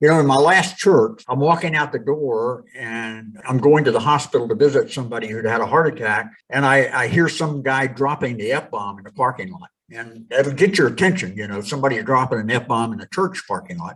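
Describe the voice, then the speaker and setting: A man with an unremarkable speaking voice talks at a fairly quick pace and medium pitch, with lively intonation, hardly any pauses, and big swings in loudness. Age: 60s. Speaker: pastor and former professional wrestler. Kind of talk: podcast interview, storytelling.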